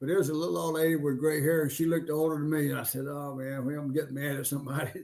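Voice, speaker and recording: A man with an Alabama accent at a very fast pace, fairly even intonation and audible room echo. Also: fairly high pitch for a man. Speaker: podcast co-host. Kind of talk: casual chat; reading aloud. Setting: live stream.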